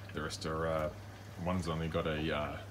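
Over noticeable background noise, a man speaks at a very deep, low pitch. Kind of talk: casual tour commentary. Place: home room. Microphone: phone near.

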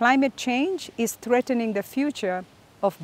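A woman speaks at a fairly slow pace with ordinary pitch variation. The sound is dry, with no echo. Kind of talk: formal welcome address. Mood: calm, warm, formal. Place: garden. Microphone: lapel.

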